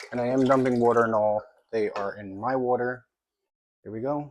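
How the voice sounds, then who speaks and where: A quiet man's voice of medium pitch, monotone and flat in intonation. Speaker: fish keeping youtuber. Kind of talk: casual vlog tutorial. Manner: quiet, hushed.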